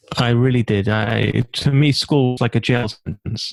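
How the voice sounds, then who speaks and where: In a London accent, a man speaks at a medium pitch, recorded very cleanly against a silent background with a dry, close sound and no echo. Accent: British (London). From London, England (Stamford Hill). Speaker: entrepreneur and author. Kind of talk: interview conversation.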